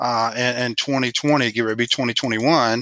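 The man's voice has a bright, sharp tone at a medium pitch, with fairly even intonation and a dry, close sound with no echo. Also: fairly quick pace.

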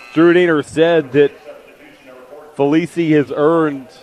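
A man in a monotone, flat delivery, with a dry sound, no echo and light background noise. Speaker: sports play-by-play announcer. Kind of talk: basketball play-by-play broadcast. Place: stadium. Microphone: headset.

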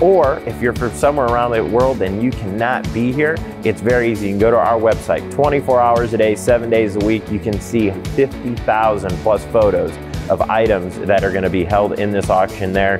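Over clear music in the background, a man with a fairly low pitch talks at a fairly quick pace. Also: ordinary pitch variation. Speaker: auctioneer, business owner. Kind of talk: promotional interview talk. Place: hall.

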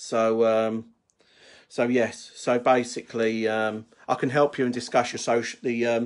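A man talks with monotone, flat intonation against a quiet background. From United Kingdom. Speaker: wedding toastmaster. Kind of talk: casual live talk to camera. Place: home room. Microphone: phone near.

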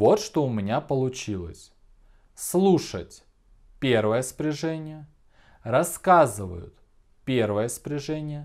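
On a very clean recording with a silent background, a man speaks at a medium pitch and a very slow pace, with long, frequent pauses. His pitch swings very widely and his loudness shifts a lot. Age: 20s. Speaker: school teacher. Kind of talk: video lesson. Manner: clear, deliberate.

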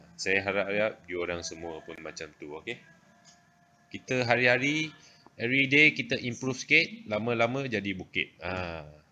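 With faint music in the background, a man of fairly low pitch speaks at a moderate pace, his loudness swinging widely. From Malaysia. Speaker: social media livestreamer. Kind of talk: casual chat. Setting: livestream. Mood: playful, teasing. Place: home room. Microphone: phone near.

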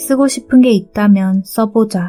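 Over music in the background, a woman of medium pitch speaks at a very slow pace in a calm, soothing tone with ordinary pitch variation. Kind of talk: sleep audiobook reading, calm book narration for falling asleep. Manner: soft, calm, soothing, relaxing.

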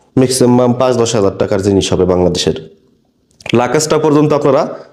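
This is a man with a medium pitch. His pitch variation is ordinary. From Bangladesh. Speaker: migrant worker vlogger. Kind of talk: vlog commentary. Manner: impassioned.

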